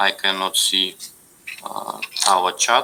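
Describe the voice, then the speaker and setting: The speaker has a non-native accent. Noticeable background noise runs under the voice. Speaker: university lecturer. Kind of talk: lecture. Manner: halting, many fillers.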